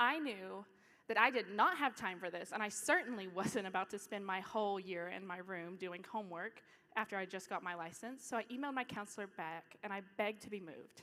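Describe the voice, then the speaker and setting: With an East Tennessee accent, a woman speaks at a fairly quick pace in a medium pitch with ordinary pitch variation, over noticeable background noise. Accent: East Tennessee Southern. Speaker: student speaker. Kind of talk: talk to an audience.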